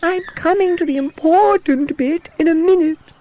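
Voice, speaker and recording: Using a put-on character voice, a man speaks at an extremely high pitch in an enthusiastic tone. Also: moderate pace. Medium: read story. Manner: enthusiastic, fussy.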